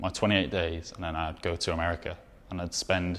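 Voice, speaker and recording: A man is speaking. He has a Welsh accent. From Wales. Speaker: documentary photographer. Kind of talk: interview answer.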